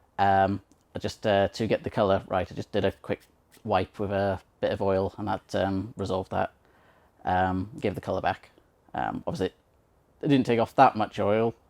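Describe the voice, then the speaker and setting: A man's fairly low voice at a moderate pace, with long, frequent pauses, ordinary pitch variation and a dry, close sound with no echo. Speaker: blind woodworker, channel host. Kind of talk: casual tutorial. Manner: hesitant, many fillers.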